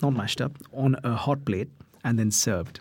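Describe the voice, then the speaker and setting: In a very clean recording with a silent background, a man speaks in a somewhat breathy voice at a fairly slow pace. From India. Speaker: chef and cookbook author. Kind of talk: casual interview giving cooking tips.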